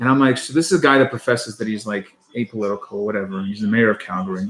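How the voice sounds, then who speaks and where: Ordinary pitch variation marks a man's very fast speech. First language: Russian. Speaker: podcast co-host. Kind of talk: casual chat on a live stream.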